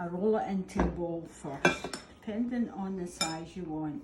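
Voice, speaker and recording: Noticeable background noise sits under this recording. A woman talks at a fairly slow pace in a fairly low pitch. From Scotland. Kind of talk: cooking demonstration.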